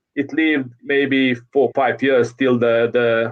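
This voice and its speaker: A man's medium-pitched voice with a Croatian accent. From Croatia (Zagreb). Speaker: futsal coach. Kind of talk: interview. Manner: halting.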